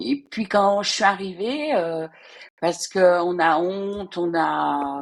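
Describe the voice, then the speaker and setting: A woman speaks very slowly in a fairly low voice, her intonation lively. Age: 60s. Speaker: retired civil servant. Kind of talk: interview testimony. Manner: halting, hesitant.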